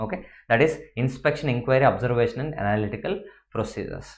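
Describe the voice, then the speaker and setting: A man talks very fast at a medium pitch with ordinary pitch variation. His voice is somewhat breathy, and the room echo is audible. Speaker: accounting lecturer. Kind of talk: lecture.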